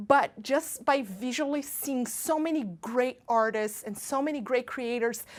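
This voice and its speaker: Animated, high-pitched speech from a woman with a Brazilian accent, fairly slow, with ordinary pitch variation. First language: Portuguese. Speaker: pastry chef. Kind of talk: baking tutorial and casual talk.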